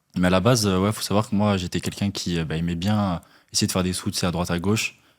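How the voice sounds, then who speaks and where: The speech moves at a very fast pace with fairly even intonation. The recording is very clean, with a silent background. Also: man, very deep, low pitch for a man. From southern France, Toulouse. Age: 20s. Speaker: young online entrepreneur, TikTok creator. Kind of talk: podcast interview. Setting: in person podcast studio in Paris.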